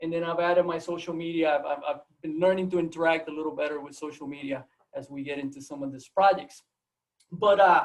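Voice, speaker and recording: A man speaks with a Puerto Rican accent. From Puerto Rico, Mayagüez. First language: Spanish. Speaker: biology professor. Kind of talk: seminar talk. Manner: halting, many repetitions.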